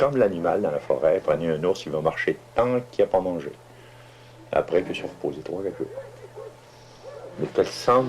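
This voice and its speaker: Amid noticeable background noise, a man talks at a moderate pace with long, frequent pauses. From Innu of Pointe-Bleue, Lac Saint-Jean, Quebec. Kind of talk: interview answer. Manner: patient.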